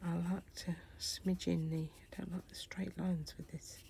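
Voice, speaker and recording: Somewhat breathy, a woman's voice sits at a fairly low pitch and moves at a fairly slow pace. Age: 60s. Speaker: craft YouTuber. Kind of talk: craft tutorial; casual chat.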